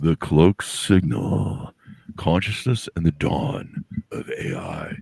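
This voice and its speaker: A man puts on a dramatic character voice, very deep and low in pitch, delivered at a fairly slow pace. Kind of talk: voiceover announcer. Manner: dramatic, portentous.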